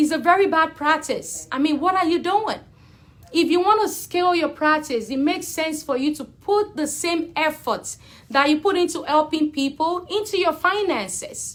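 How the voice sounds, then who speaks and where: A woman speaks loudly in an animated tone at an extremely high pitch. Her pace is moderate, with ordinary pitch variation. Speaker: accountant. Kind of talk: live Q&A video. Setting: livestream on social media.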